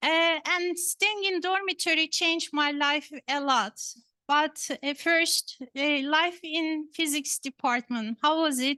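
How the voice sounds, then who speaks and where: A woman with a Turkish accent speaks very slowly in a raised, projected voice that is high-pitched, bright and sharp. Her loudness stays very even, and the sound is dry and close with no echo. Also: ordinary pitch variation, quiet background. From Turkey, Istanbul. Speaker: professor. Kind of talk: lecture. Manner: hesitant, many fillers.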